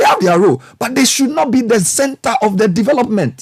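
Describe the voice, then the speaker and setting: A man at a fairly quick pace, in a dry, close sound with no echo. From Ghana. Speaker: broadcast journalist and commentator. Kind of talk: passionate public speech on national affairs. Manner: passionate, frustrated, emphatic.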